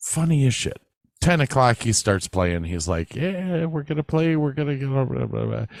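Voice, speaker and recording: A man with an American accent speaks at a medium pitch and moderate pace, his pitch swinging very widely. The recording is very clean and dry, close with no echo, over a silent background. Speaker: podcast co-host. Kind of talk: casual chat.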